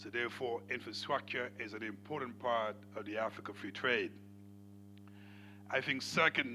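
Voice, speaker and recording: Bright and sharp in tone, a man speaks with long, frequent pauses. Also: fairly even intonation, moderate pace. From Senegal. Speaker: panel moderator. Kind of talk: moderating a conference panel.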